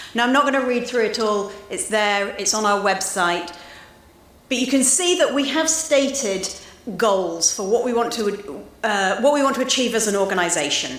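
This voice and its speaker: A woman with a British accent speaks in a fairly high voice and lively intonation, with audible room echo and noticeable background noise. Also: moderate pace. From UK. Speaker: association president. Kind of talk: speech. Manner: some hesitations.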